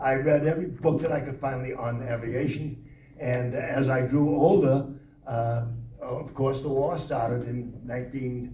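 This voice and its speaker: The speaker talks at a fairly slow pace in an American accent, with audible room echo. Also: man, medium pitch for a man, fairly even intonation. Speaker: World War II veteran navigator. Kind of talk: oral history talk.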